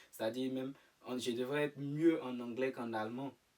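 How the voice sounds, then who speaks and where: Speaking at a moderate pace, this man keeps his intonation fairly even. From Ivory Coast. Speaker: student living abroad. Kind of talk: interview. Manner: hesitant.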